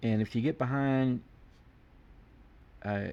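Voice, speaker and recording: Here a man talks at a medium pitch. His pitch varies in an ordinary way. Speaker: art teacher. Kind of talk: tutorial.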